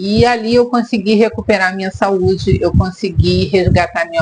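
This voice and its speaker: The woman's voice has ordinary pitch variation. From Brazil, Rio de Janeiro. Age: 50s. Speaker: therapist and vlogger. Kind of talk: personal vlog monologue.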